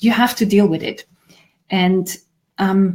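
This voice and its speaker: This woman's voice is medium in pitch, with a dark, mellow tone and a somewhat breathy quality. Her intonation is fairly even and her pace moderate. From Switzerland. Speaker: grief therapist. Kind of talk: conversational video discussion.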